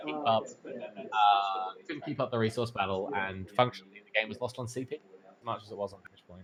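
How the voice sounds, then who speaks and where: Noticeable background noise beneath a man's medium-pitched voice, its pitch varying in an ordinary way. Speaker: card game tournament commentator. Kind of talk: live commentary. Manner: fast.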